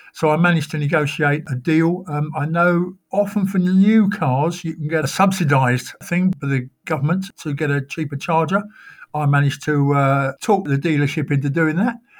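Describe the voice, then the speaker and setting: A man with an unremarkable speaking voice talks at a fairly high pitch and moderate pace, with ordinary pitch variation. The recording is very clean, with a silent background. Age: 60s. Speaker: electric car driver. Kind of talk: interview.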